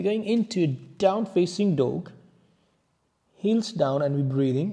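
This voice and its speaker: With light background noise behind him, a man speaks at a fairly slow pace in a dark, mellow tone, his intonation lively. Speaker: yoga instructor. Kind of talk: guided yoga class, calm step-by-step cueing. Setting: video class on a yoga mat. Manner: calm, soft-spoken, slow and soothing; instructive, paced to breaths with pauses.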